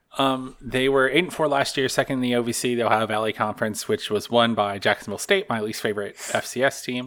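The recording is very clean, with a silent background. A man speaks at a fairly quick pace and medium pitch, with ordinary pitch variation. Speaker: podcast host. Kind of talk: casual chat. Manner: fast talker.

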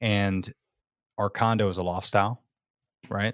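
A man with a very deep, low pitch speaks at a moderate pace in monotone, flat intonation. The recording is very clean with a silent background and a dry, close sound with no echo. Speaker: small business co-founder. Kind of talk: casual interview. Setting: podcast guest interview. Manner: loud.

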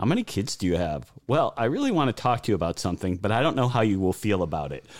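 A man with big pitch swings and a fast pace. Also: fairly low pitch for a man.

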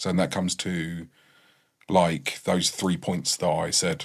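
In a very clean recording with a silent background, a man with an English accent speaks at a moderate pace in a very deep, low voice with fairly even intonation. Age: 30s. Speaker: freemason. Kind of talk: casual chat.

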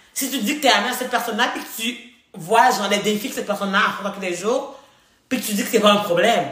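A woman's fairly high voice at a very fast pace, with ordinary pitch variation and audible room echo. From Haiti. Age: 20s. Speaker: podcast co-host, student. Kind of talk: casual chat.

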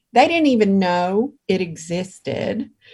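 A somewhat breathy delivery at a fairly slow pace. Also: woman. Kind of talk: casual interview chat.

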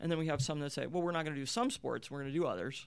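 A woman speaks with an American accent and vocal fry. Her pitch varies in an ordinary way. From Appalachian Ohio (Marietta). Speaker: college athletics director and former Olympic swimmer. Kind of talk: interview. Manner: halting, many repeated starts.

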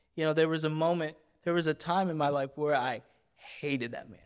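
Using an ordinary speaking voice, a man talks at a fairly quick pace with fairly high pitch and fairly even intonation. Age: 30s. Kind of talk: casual interview; spoken word poem.

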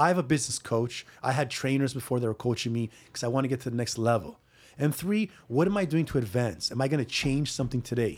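Speaking at a very fast pace in an animated tone, a man with a medium pitch comes through on a very clean recording with a silent background. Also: ordinary pitch variation. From Greece. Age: 40s. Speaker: personal trainer. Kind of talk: casual chat. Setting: gym.

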